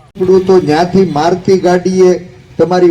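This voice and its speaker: Noticeable background noise runs beneath a man speaking at a high pitch. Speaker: opposition politician. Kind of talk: rally speech. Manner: animated.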